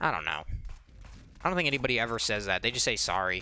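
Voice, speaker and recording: A man speaks with music playing behind him. His pitch swings very widely. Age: 20s. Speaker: gaming YouTuber. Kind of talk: let's play commentary. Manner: casual, rambling.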